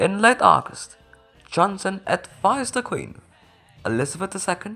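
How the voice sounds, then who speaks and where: Music plays in the background as a woman speaks at a medium pitch and a moderate pace. Her intonation is lively, and her loudness swings widely. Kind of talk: history explainer narration. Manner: higher-pitched than usual.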